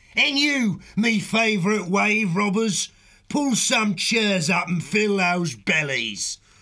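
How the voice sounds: Put-on character voice from a man, high-pitched with a bright, sharp tone, lively intonation and a slow pace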